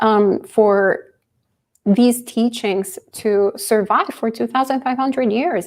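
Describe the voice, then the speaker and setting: With a non-native accent, a woman speaks at a moderate pace in a fairly high pitch with ordinary pitch variation. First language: not English. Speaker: Buddhist nun teaching. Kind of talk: dharma talk and Q&A.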